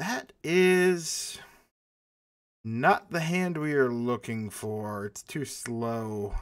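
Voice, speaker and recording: Here a man speaks very slowly at a medium pitch. His pitch swings very widely. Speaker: gaming youtuber. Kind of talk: casual gameplay commentary.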